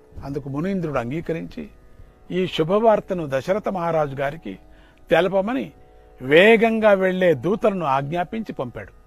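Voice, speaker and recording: Faint music plays in the background as a man talks at a high pitch, the sound dry with no echo. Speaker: religious teacher. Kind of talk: religious discourse storytelling.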